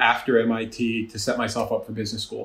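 With audible room echo, a man speaks fairly quickly with an American accent. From New Jersey, Jersey Shore; New Jersey. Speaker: management consulting partner; guest. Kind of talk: interview conversation. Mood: warm, smiling.

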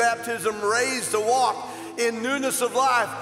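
Clear music plays in the background as a man talks in an extremely high pitch with monotone, flat intonation. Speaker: pastor. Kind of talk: baptism ceremony address. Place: church. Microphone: handheld.

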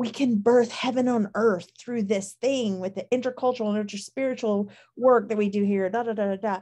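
A woman with an American accent, dark and mellow in tone, fairly quick in pace, with fairly even intonation over a quiet background. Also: hardly any pauses. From Alabama, US South. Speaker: pastor. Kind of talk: casual chat. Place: home room. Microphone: video call.

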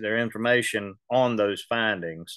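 In a Southern US accent, a man talks at a moderate pace with medium pitch and ordinary pitch variation. The sound is dry with no echo, and the background is quiet. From US South. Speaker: local historian and reenactor. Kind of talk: lecture. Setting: video call. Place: office. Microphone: video call.

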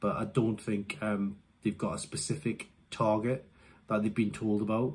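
Speaking at a fairly slow pace, a man keeps a fairly low pitch with little pitch movement.

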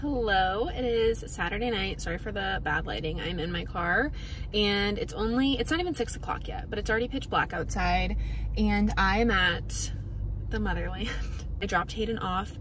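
A woman talks at a moderate pace over noticeable background noise. The sound is dry, with no echo. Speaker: lifestyle vlogger. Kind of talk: casual vlog chat. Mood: relaxed, chatty. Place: car. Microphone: phone near.

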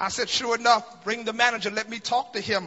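The speaker is a man with a high pitch. He talks at a moderate pace. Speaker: preacher giving a eulogy. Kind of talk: sermon. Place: hall. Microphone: handheld.

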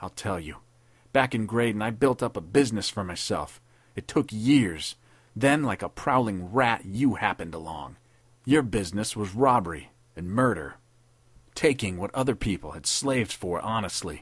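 On a very clean recording with a silent background, a man puts on a raspy character voice with a fairly low pitch at a moderate pace. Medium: read story. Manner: sneering, savage, bitter.

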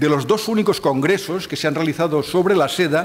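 Moderate-paced speech from a man, his pitch varying in an ordinary way. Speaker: conference lecturer. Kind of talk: lecture. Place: hall.

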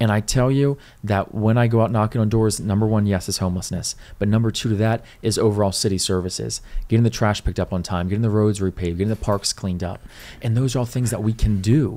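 A man with a fairly low pitch and a dark, mellow tone talks at a very fast pace in an American accent. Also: fairly even intonation. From Riverside, California; California. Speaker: city council candidate; council candidate. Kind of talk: casual interview. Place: studio. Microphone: studio mic.

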